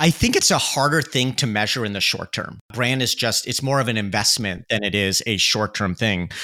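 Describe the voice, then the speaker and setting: In a very clean recording with a silent background, a man speaks in a bright, sharp tone. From Canada (Oshawa, Ontario). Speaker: chief marketing officer. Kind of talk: interview conversation.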